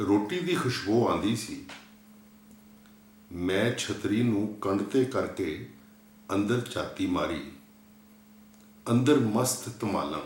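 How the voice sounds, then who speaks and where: Lively intonation marks this man's speech. He has an ordinary speaking voice at a medium pitch. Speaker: poet reading his own poem. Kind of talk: poetry reading.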